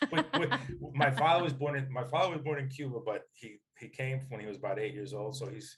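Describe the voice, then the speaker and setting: A man's medium-pitched voice in an American accent, fairly quick, with ordinary pitch variation and big swings in loudness. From US Northeast. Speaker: business executive. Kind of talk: interview conversation. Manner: animated.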